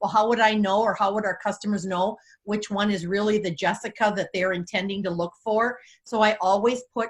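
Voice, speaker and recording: Somewhat breathy, a woman speaks fairly quickly at a medium pitch with fairly even intonation, on a very clean recording with a silent background. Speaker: direct sales team leader. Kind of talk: training tutorial.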